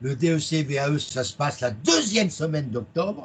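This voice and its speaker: This man talks at a fairly slow pace, his intonation lively. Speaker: accounting exam trainer. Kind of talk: presentation. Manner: loud.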